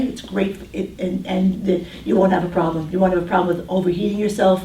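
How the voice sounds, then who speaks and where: Amid noticeable background noise and audible room echo, a woman with a New York accent talks at a very fast pace and a medium pitch. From New York City (Brooklyn). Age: 60s. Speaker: diet counselor. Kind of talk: talk to a group with Q&A. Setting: room with small audience.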